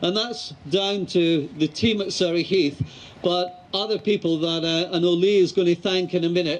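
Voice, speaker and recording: In a Scottish accent, a man with a high pitch talks at a moderate pace with fairly even intonation. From Scotland. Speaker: mayor. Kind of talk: public speech.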